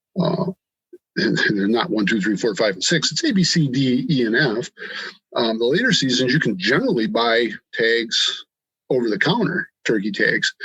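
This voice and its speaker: This speaker has an Upper Midwest US accent and a moderate pace. The pitch swings very widely while the loudness stays very even. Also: man, medium pitch for a man. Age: 60s. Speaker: hunter and farmer. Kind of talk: podcast interview. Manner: halting, many fillers.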